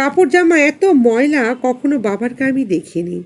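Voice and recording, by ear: Her fairly high pitch and slightly mellow tone come with lively intonation as this woman talks at a fairly slow pace.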